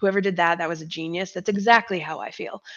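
A woman with an American accent and an unremarkable speaking voice talks at a fairly quick pace in a medium pitch. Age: 40s. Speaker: fitness influencer and military veteran. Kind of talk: casual chat.

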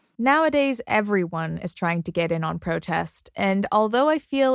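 A woman in an ordinary speaking voice with a Canadian accent, medium pitch and a moderate pace, in a dry, close sound with no echo on a very clean recording with a silent background. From suburban Canada. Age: 20s. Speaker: podcast host. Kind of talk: narrated documentary and interview.

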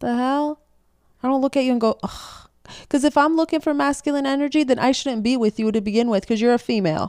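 On a very clean recording with a silent background and a dry, close sound with no echo, a woman talks very fast in a high voice with ordinary pitch variation. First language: not English. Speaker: podcast co-host. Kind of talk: casual chat. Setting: home, podcast in pajamas. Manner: casual, cursing, laughing.

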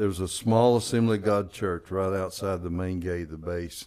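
A man's very deep, low-pitched voice. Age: 70s. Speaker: pastor. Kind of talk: testimony.

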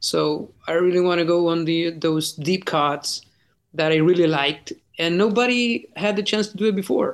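A man's high-pitched voice at a moderate pace. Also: ordinary pitch variation. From Chile. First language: Spanish. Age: 40s. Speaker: rock singer. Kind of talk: interview. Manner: halting.

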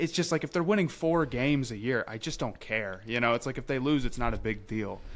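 Speaking at a fairly quick pace, a man with an American accent uses lively intonation at a medium pitch. It is a normal speaking voice on a very clean recording with a silent background. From South Carolina, near Columbia. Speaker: podcaster and social media creator. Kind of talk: casual chat.

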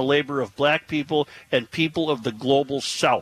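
With an American accent, a man with an unremarkable speaking voice and a fairly high pitch talks at a moderate pace in a dry, close sound with no echo. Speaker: radio talk show host. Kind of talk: casual talk radio banter. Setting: live remote broadcast from a store with audience.

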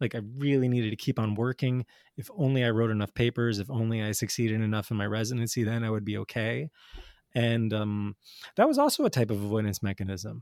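Recorded very cleanly against a silent background with a dry, close sound and no echo, a man with an American accent speaks at a very fast pace with fairly even intonation. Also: medium pitch for a man. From US Northeast, North Jersey. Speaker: addiction psychiatrist and author. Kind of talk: interview.

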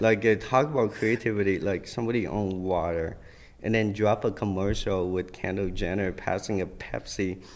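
A man with an American accent uses a normal speaking voice at a fairly low pitch. He keeps a moderate pace and fairly even intonation. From Vietnam, raised partly in Minnesota. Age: 20s. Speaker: fashion designer. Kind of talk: casual chat. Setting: studio.

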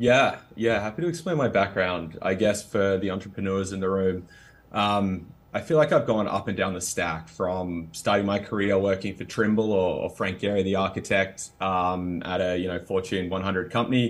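A man with a fairly low pitch and an Australian accent, fairly even intonation, moderate pace, very clean recording and silent background. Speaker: startup CEO. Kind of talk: interview conversation.

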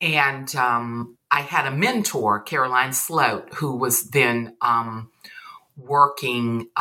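A woman with a Southern US accent and a very deep, low, bright and sharp voice, at a very slow pace with ordinary pitch variation. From US South. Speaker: poet and English professor. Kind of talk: casual interview chat.

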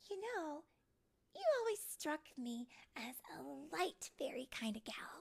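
A woman puts on a character voice, high-pitched with vocal fry. She talks at a slow pace with big pitch swings.

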